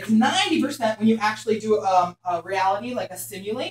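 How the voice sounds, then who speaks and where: Energetic and somewhat breathy, a woman speaks with a Philadelphia accent. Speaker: hair colour educator. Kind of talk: workshop lecture. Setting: classroom with live audience. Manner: fast.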